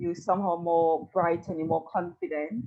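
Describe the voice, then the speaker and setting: Here a woman speaks at a fairly low pitch. Her intonation stays fairly even. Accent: West Indian. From Tobago. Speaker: podcast co-host, psychology background. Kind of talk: casual podcast conversation.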